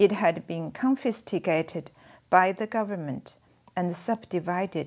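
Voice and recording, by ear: Reading aloud in a natural voice with ordinary pitch variation.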